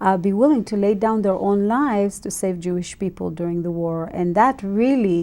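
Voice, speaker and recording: A woman speaks at a medium pitch with an Israeli accent. Her tone is dark and mellow. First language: Hebrew. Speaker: ministry leader. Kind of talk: interview.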